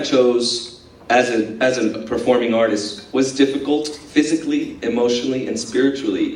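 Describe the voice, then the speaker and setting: Audible room echo and noticeable background noise accompany a man speaking at a moderate pace with medium pitch. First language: Spanish. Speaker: dance company director, former performer. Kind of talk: speech to audience. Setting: school event breakfast. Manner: hesitant, many filler words.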